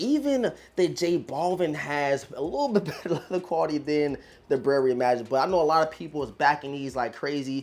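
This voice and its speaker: With an animated tone and ordinary pitch variation, a man talks fairly quickly in a fairly high pitch. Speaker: sneaker reviewer. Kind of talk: casual unboxing review.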